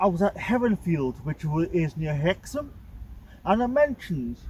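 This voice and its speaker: A man talks in a strong North East England accent at a high pitch. His pitch swings very widely, and his pace is fairly slow. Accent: thick North East England. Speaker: musician in a band. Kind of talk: casual talk to camera, local history commentary. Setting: outdoors. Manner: casual, hesitant.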